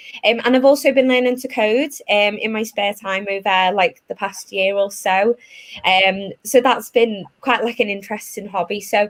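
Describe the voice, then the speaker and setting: Here a woman with a Liverpool accent talks at a moderate pace. Her pitch is medium. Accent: Liverpool (Scouse). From northern England, Liverpool. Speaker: tech recruiter. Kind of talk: presentation.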